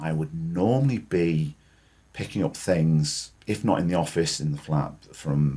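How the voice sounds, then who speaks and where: Speaking with a northern English accent, a man with a very deep, low voice and a dark, mellow tone moves at a moderate pace with ordinary pitch variation. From northwest England. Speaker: senior lawyer. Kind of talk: interview.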